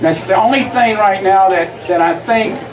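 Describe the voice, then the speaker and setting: Speaking in a Kentucky accent, a man with a high pitch keeps his intonation fairly even amid audible room echo and noticeable background noise. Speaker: school board candidate, retired school principal. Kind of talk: campaign speech. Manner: halting with fillers.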